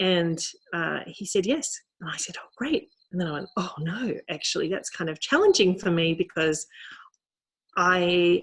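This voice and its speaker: Somewhat breathy, the voice moves at a moderate pace in an Australian accent. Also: woman. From rural Australia. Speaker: novelist. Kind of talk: author talk. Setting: video call. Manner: halting.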